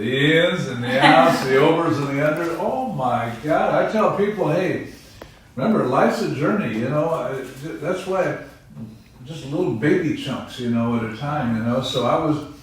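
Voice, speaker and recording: A man's fairly high voice moves with lively intonation at a moderate pace, with noticeable background noise and audible room echo in the recording. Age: 70s. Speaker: pastor. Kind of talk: testimony. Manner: animated.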